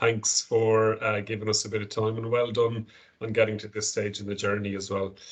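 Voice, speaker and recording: The voice is somewhat breathy, with an Irish accent. The background is quiet. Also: man. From Ireland, Galway. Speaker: company director. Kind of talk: corporate presentation on video call. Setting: video call from small meeting room.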